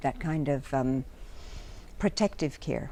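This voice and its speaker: A woman with an American accent speaks slowly-ish, at a fairly slow pace, her very deep, low voice carrying a dark, mellow tone. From France. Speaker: psychotherapist. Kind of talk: interview. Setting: conference.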